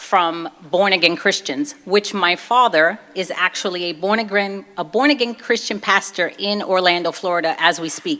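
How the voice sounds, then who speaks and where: A woman speaks with a Brooklyn accent. Her pace is moderate. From Brooklyn, New York (Puerto Rican family). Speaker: convert speaker, former fitness trainer. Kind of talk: personal testimony talk. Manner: casual, conversational.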